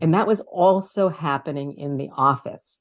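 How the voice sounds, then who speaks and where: The speaker has a New York accent and ordinary pitch variation. The pace is moderate. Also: woman. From New York City (Brooklyn, Queens). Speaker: author and communication coach. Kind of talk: interview.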